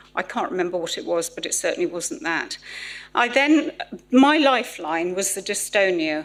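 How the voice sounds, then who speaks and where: At a moderate pace, a woman talks with a southern English accent. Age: 60s. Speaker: patient speaker. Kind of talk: testimony.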